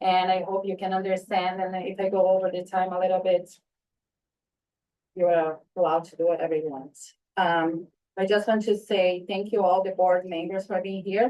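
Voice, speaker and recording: A woman speaks in a non-native accent at a medium pitch. Her tone is dark and mellow, her intonation monotone and flat. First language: not English. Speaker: parent speaking at public comment. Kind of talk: public comment at board meeting. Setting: school board meeting.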